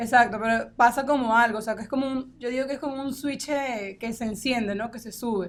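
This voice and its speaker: A woman speaks with a high pitch, fairly even intonation and big swings in loudness. She talks at a fairly quick pace with hardly any pauses. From Venezuela, Falcón. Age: 20s. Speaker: politician. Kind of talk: interview. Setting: studio.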